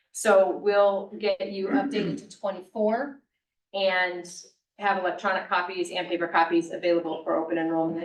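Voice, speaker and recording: In a plain, everyday voice, a woman speaks at a moderate pace and medium pitch. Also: ordinary pitch variation. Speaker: benefits consultant presenting to county board. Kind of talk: business presentation at public meeting.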